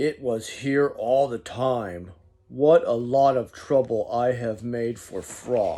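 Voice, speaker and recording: Putting on a character voice, a man speaks at a very slow pace with a medium pitch. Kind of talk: bedtime story. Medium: read story.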